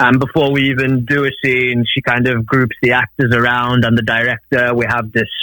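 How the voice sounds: Here a man speaks at a moderate pace and medium pitch. His tone is bright and sharp, with monotone, flat intonation.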